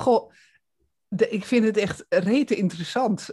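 Over a quiet background, a woman speaks at a fairly slow pace. Her intonation is lively. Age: 60s. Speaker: podcast host and coach. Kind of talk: interview. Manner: hesitant, many fillers.

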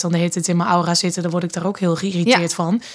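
This woman talks in a fairly low register with a flat, monotone delivery. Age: 30s. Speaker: mother, manager. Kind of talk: casual chat. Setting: studio, at a table. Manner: hesitant with fillers.

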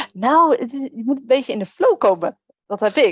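A high-pitched woman talks at a moderate pace, the sound dry and close with no echo. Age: 30s. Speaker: virtual assistant. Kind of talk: interview.

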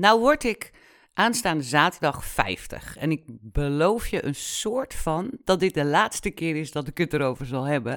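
A woman with a very deep, low pitch speaks at a fairly slow pace. Her pitch swings very widely, on a very clean recording with a silent background. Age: 40s. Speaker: podcast host. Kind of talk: personal monologue. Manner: casual, animated.

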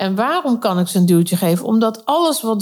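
A woman at medium pitch on a very clean recording with a silent background. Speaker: vocal coach and podcast host. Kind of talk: solo monologue.

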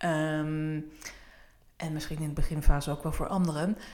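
The room echo is audible around a woman's voice. Her pitch is very deep and low. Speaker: podcast host. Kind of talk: casual chat.

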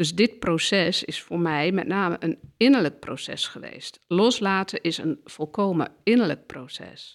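A woman speaks at a fairly low pitch and a fairly slow pace, with hardly any pauses. Her pitch varies in an ordinary way while her loudness swings widely. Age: 50s. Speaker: counsellor and systemic therapist. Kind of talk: interview conversation. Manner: hesitant, many filler sounds.

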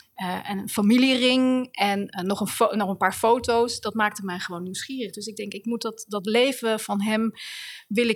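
In an ordinary speaking voice, a woman talks at a moderate pace with fairly high pitch and fairly even intonation, her loudness swinging widely. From Netherlands, The Hague. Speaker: author and writing teacher. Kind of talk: interview. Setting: university building.

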